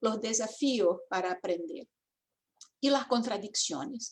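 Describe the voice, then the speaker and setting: With a Portuguese accent, a woman speaks at a fairly high pitch and a very slow pace. Her intonation is lively. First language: Portuguese (speaking Spanish). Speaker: education professor. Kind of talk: academic talk.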